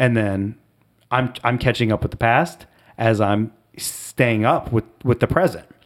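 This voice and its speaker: Someone with an American accent talks at a moderate pace on a very clean recording with a silent background. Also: man. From US Midwest, southwest Ohio (Dayton area). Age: 40s. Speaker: podcast guest, friend of host. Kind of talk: casual chat.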